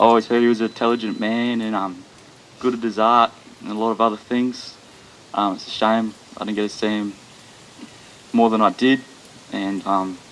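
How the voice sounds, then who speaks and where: Speaking at a fairly quick clip in a flat, monotone delivery with a nervous tone, the speaker leaves long, frequent pauses over noticeable background noise. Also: man, medium pitch for a man. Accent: New Zealand. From Australia. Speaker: son of the deceased. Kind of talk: eulogy. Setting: funeral gathering. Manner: nervous, hesitant with many ums.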